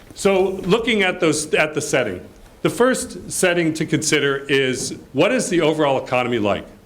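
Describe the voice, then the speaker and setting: Audible room echo surrounds a man with a fairly high pitch who talks at a moderate pace. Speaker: report presenter at a development launch. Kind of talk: presentation of research findings. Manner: loud.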